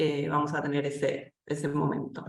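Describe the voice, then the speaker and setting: A woman at a fairly slow pace. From Argentina, Buenos Aires. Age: 30s. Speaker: editor and cultural journalist. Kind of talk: online seminar presentation. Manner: hesitant fillers.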